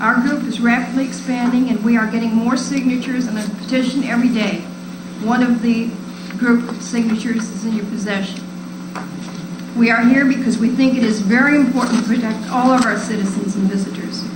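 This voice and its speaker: A woman talks at a fairly quick pace with a fairly high pitch and fairly even intonation. Audible room echo and noticeable background noise are present. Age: 60s. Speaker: resident speaking at public comment. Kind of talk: public comment at council meeting. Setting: city council meeting.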